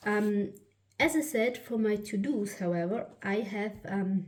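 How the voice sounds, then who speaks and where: A woman with a German accent, medium pitch, ordinary pitch variation, a somewhat breathy quality and a very slow pace. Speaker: planner YouTuber. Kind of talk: product flip-through. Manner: halting, many fillers and restarts.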